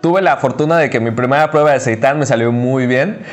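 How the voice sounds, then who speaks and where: A man with a Mexican accent at a fairly quick pace, ordinary pitch variation, and noticeable background noise. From Mexico, Cancún. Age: 30s. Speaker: vegan chef and restaurant owner. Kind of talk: casual interview.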